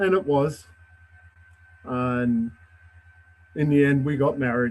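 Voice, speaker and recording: A man with an Australian accent, fairly high pitch and ordinary pitch variation, at a very slow pace over noticeable background noise. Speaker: judicial job applicant, air force veteran. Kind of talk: job interview. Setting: public meeting, live stream. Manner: formal.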